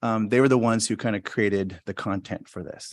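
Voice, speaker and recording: A man talks at a very fast pace in a fairly low pitch, with a dry, close sound, no echo and a quiet background. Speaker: school principal. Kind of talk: presentation at school board meeting. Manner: halting, many fillers.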